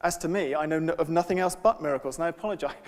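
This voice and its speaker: Very fast speech comes from a man with a London accent. His voice is high, with ordinary pitch variation. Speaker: lecturer reading a poem aloud. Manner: hesitant, many fillers.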